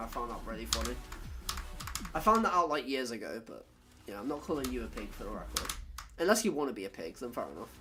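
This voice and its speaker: Very fast speech in a British accent, with music in the background. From Britain. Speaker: gaming streamer. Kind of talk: casual chat. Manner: casual, filler-heavy.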